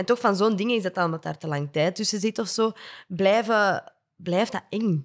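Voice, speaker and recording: A woman with a Flemish accent at a medium pitch and moderate pace, ordinary pitch variation, against a quiet background. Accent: Flemish Dutch. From Flanders, Belgium. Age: 20s. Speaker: podcast co-host. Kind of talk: casual interview. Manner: enthusiastic. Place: studio. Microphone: studio mic.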